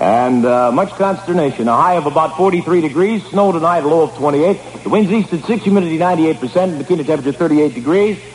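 Noticeable background noise sits behind a man whose pitch is high. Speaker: radio disc jockey. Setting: radio studio broadcast, archived air check.

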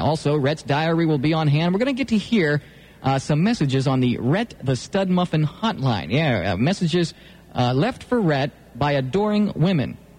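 Here a man speaks rather quickly. His pitch leaps up and down a great deal. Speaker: radio host. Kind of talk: radio DJ patter, casual banter. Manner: playful, teasing, jokey.

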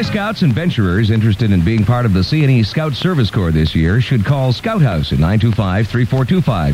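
Over noticeable background noise, a man with a fairly low pitch talks at a fairly quick pace in an upbeat, playful tone with very wide pitch swings. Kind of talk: radio DJ patter with promos and ad reads. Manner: fast, upbeat, punchy announcer delivery with playful ad-libs.

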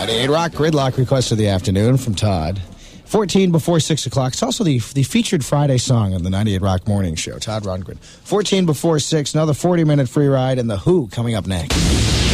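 A man's medium-pitched voice with very wide pitch swings, at a moderate pace with hardly any pauses, over noticeable background noise. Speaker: radio host. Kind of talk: casual radio banter. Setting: radio studio broadcast. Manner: animated, joking.

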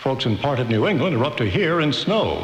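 Through noticeable background noise, a man speaks at a fairly quick pace in a fairly high pitch. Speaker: radio news anchor. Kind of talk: news reading. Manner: formal, steady, even.

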